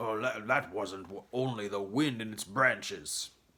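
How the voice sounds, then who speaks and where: A man speaks in a raspy, put-on character voice at medium pitch and a moderate pace. His loudness swings widely. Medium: read story. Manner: smug, stubborn.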